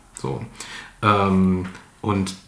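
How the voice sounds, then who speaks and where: A man talks over noticeable background noise. Room echo is audible in the recording. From Germany, Ratingen (North Rhine-Westphalia). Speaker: author. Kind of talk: interview. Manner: halting, many fillers.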